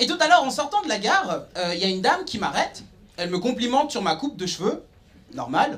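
A man talks at a very fast pace with an extremely high pitch and very wide pitch swings. His tone is animated and confident. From Nyon, Switzerland. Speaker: stand-up comedian. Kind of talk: stand-up comedy. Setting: stage with audience. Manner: animated, punchy delivery with cheeky, provocative punchlines; confident, conversational storytelling with sarcastic asides. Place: stage. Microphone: handheld.

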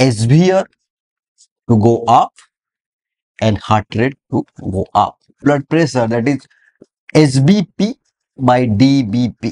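A dark, mellow tone at a very slow pace, with long, frequent pauses and a quiet background. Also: man. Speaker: medical lecturer. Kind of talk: lecture. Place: classroom.

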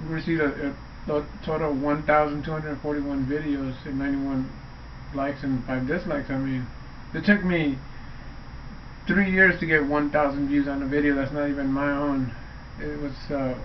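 A man's monotone, flat delivery at a moderate pace over light background noise. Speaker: vlogger. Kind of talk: casual vlog chat. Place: home room. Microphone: webcam.

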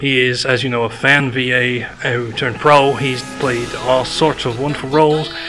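A man speaks at a moderate pace in a flat, monotone delivery. Music plays clearly behind him. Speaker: interviewer for a news channel. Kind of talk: convention interview questions. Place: hall.

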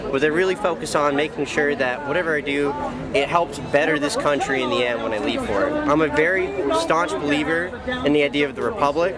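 Against crowd noise in the background, a man talks at a very fast pace with ordinary pitch variation in a dry sound with no echo. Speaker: interviewee. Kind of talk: interview answer. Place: street. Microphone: phone near.

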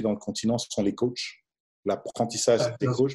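The man's tone is dark and mellow, and the background stays quiet. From DR Congo. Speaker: basketball coach; basketball coach interviewee. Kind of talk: interview. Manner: halting. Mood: calm, reflective. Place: home room. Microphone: video call.

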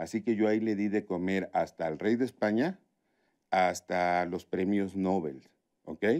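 A man talks at a fairly slow pace and a fairly low pitch. His pitch varies in an ordinary way against a quiet background. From Tabasco, Mexico. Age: 50s. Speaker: chef; interview guest. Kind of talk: interview conversation. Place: studio.

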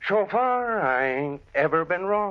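A man's high-pitched, put-on character voice with big pitch swings at a slow pace.

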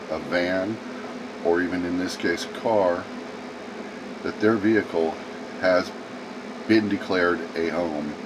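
Very deep, low male voice, fairly slow and fairly even in intonation, over noticeable background noise. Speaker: mobile-lifestyle vlogger. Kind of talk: casual vlog chat. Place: home room.

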